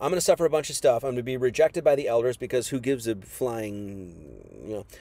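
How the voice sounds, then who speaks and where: A man talks at a moderate pace with an American accent. His tone is dark and mellow. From US Midwest, Wisconsin. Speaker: preacher. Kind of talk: sermon. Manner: casual.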